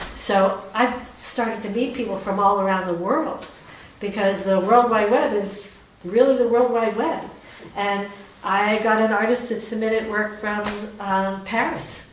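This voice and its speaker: Over noticeable background noise, a woman talks at a fairly slow pace with a fairly high pitch and fairly even intonation. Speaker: artist and exhibit curator. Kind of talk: gallery talk. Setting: gallery with audience.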